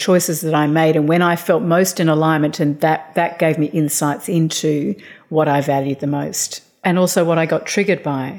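Fairly quick and fairly low in pitch, a woman talks with fairly even intonation and very even loudness. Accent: Australian. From Australia. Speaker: author and life coach. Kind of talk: interview.

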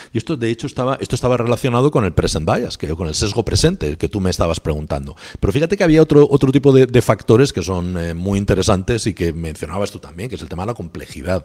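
Rushing at a very fast pace with hardly any pauses, a man speaks at a fairly low pitch that makes very wide swings. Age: 50s. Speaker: economics professor. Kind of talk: interview. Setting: remote call from office.

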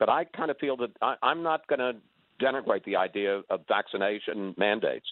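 Here a man is speaking. His intonation is lively. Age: 70s. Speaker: caller. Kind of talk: call-in radio chat.

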